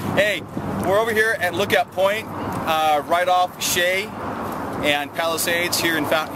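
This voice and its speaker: A man's voice, dry with no echo, over loud background noise. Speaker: military veteran. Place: open country.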